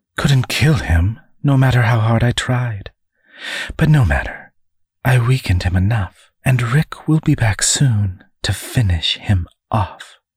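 Slow and lively in intonation, a man performs a put-on character voice at medium pitch. His tone is slightly mellow with a husky, rough edge.

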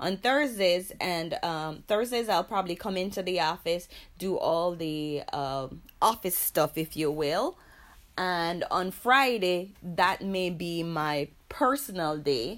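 On a very clean recording with a silent background, a woman with a fairly low pitch and lively intonation speaks at a very slow pace. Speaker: massage practice executive. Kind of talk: interview.

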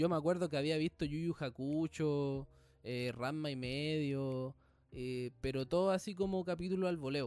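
In a very clean recording with a silent background, a man with a fairly high voice and a Chilean accent talks at a moderate pace with ordinary pitch variation. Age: 20s. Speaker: podcast host. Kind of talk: casual chat.

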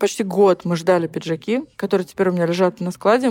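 A woman at medium pitch uses an ordinary speaking voice, recorded with a dry, close sound and no echo. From Ukraine, rural village. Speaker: fashion designer. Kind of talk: casual chat.

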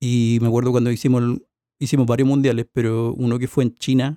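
This man has a Chilean accent and a dark, mellow tone, speaking at medium pitch with monotone, flat intonation in a dry, close sound with no echo. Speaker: sound engineer. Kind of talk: casual chat.

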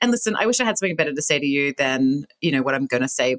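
In an Australian accent, a woman with a very deep, low pitch talks at a very fast pace with lively intonation, the sound dry and close with no echo. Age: 40s. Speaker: businesswoman and author. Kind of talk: interview.

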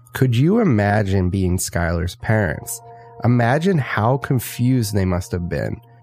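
Against noticeable background noise, a man with a fairly low voice speaks at a fairly slow pace with lively intonation. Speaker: podcast co-host. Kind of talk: true-crime narration. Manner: measured, storytelling delivery, steady and earnest.

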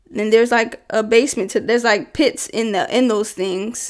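In a normal speaking voice, a woman with a fairly high pitch talks at a moderate pace with fairly even intonation, on a very clean recording with a silent background. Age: 20s. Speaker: podcast host. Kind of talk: casual solo podcast monologue. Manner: casual, conversational with filler words.

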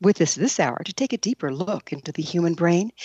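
Her pitch is fairly low, but it swings very widely. This woman speaks at a fairly quick pace. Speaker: radio host. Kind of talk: radio interview.

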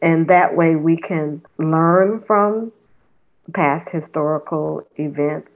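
A woman's fairly low voice, very slow, with fairly even intonation. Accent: American. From Los Angeles, California. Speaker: museum volunteer. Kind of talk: interview.

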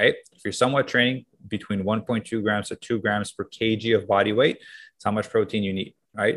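A man at a fairly low pitch and fairly quick pace, with big swings in loudness. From Canada. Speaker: fitness coach. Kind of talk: casual interview. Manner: energetic.

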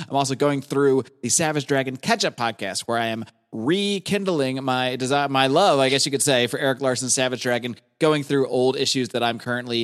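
With a plain, everyday voice, a man speaks at a medium pitch and a fairly quick pace, with ordinary pitch variation. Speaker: podcast host. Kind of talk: casual chat.

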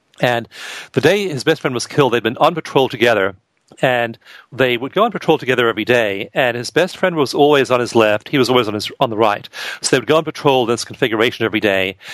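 Here a man talks at a very fast pace. His voice is medium in pitch, with ordinary pitch variation. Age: 50s. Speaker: author and researcher. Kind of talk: interview.

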